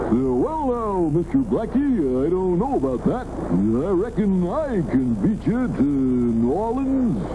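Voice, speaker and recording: A put-on character voice drawls at a fairly slow pace in a middle pitch. There are hardly any pauses. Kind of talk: 1960s TV cartoon voice acting. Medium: cartoon. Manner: folksy drawl, eager and earnest.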